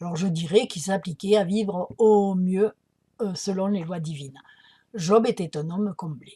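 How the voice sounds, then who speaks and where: A woman speaks in a Provençal accent, her voice somewhat breathy with a dark, mellow tone. Her loudness swings widely, and her pitch varies in an ordinary way. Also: medium pitch for a woman. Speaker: spiritual healer. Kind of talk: spiritual talk to camera. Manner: conversational, with many hesitations.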